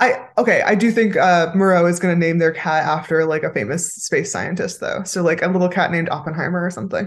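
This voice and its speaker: A woman's fairly low voice at a very fast pace, with ordinary pitch variation. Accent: Californian. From Los Angeles, California. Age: 30s. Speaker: podcast co-host and writer. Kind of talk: casual chat.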